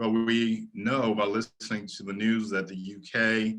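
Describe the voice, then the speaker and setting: A man with an American accent, fairly low pitch, a bright, sharp tone, and a fairly slow pace. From US, Maryland. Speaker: education speaker, futurist. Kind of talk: webinar lecture. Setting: online webinar.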